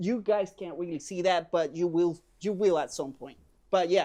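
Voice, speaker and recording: Over a very clean recording with a silent background, a man with a Puerto Rican accent speaks in a high pitch with a dark, mellow tone. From Puerto Rico. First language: Spanish. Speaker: podcast host. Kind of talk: casual chat. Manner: animated.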